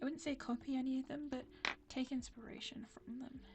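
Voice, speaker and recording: With music in the background, a woman speaks at a fairly quick pace in a high voice with monotone, flat intonation. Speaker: art YouTuber. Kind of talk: casual chat to camera while drawing. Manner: halting, stumbles over words.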